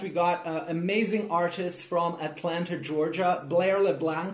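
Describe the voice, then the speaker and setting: A man speaks with fairly even intonation, and audible room echo can be heard. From South America. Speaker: podcast host. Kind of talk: casual interview chat; scripted intro.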